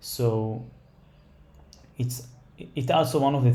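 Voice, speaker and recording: Amid audible room echo, a man with a non-native accent speaks in a dark, mellow, somewhat breathy tone. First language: not English. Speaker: stock trader, market analysis creator. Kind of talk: tutorial. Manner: halting, many fillers.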